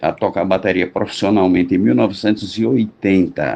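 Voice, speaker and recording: In a plain, everyday voice, a man talks at a fairly low pitch and a moderate pace with ordinary pitch variation. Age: 60s. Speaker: drummer. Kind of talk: storytelling.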